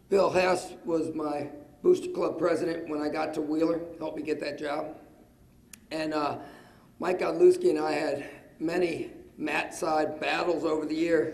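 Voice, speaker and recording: Amid audible room echo, a man speaks at a fairly slow pace in a monotone, flat intonation with long, frequent pauses. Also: fairly high pitch for a man. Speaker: wrestling coach, hall of fame inductee. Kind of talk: acceptance speech.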